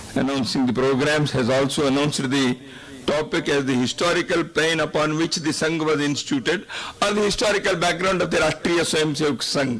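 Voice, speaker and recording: Speaking at a fairly quick pace with a Kannada accent, a man uses a fairly high pitch, ordinary pitch variation and very even loudness over noticeable background noise. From India, Karnataka. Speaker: invited speaker at a public function. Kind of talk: public speech. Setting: stage with audience.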